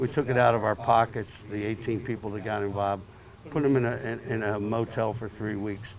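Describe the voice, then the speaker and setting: There is noticeable background noise behind a man speaking. His medium pitch shows ordinary variation. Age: 70s. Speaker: veterans advocate. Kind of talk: speech to audience. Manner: halting.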